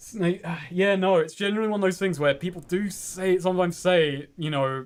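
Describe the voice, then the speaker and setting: With a British accent, the speaker goes at a fairly quick pace and fairly even intonation in a very clean recording with a silent background. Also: man. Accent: British, described as weird-ish. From England, North London. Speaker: game streamer. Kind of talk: casual chat. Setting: live stream.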